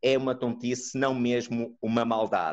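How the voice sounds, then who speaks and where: A man speaks at a moderate pace. He has a European Portuguese accent. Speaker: neuropsychologist. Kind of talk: online lecture and discussion. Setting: video call.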